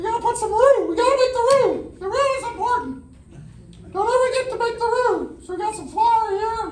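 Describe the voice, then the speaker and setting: In a put-on character voice, a man speaks at an extremely high pitch and a fairly quick pace. Light background noise and a slight echo are audible. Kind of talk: comic overacting. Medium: stage play. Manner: bawdy, campy.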